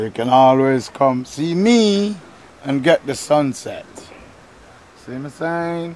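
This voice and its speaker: A man with a Jamaican accent speaks in an upbeat tone with lively intonation at a very slow pace, leaving long, frequent pauses. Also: fairly high pitch for a man. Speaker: tour guide. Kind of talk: casual talk to camera. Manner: laid-back, upbeat.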